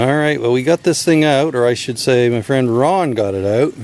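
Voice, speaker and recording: A man speaking at a fairly slow pace with ordinary pitch variation, the sound dry with no echo. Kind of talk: tutorial. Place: open country. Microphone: phone near.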